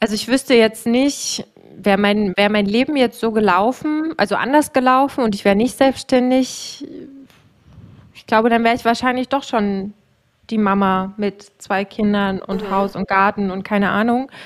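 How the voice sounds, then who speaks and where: A woman speaks with a normal speaking voice and a fairly high pitch. Her pace is moderate and her pitch variation ordinary. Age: 30s. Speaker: podcast host and coach for self-employed women. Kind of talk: casual chat.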